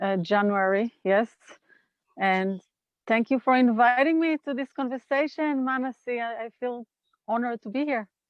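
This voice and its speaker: A woman talks at a high pitch in an Israeli accent, with ordinary pitch variation. Her pace is moderate, broken by long, frequent pauses. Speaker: nonviolent communication trainer. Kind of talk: interview conversation.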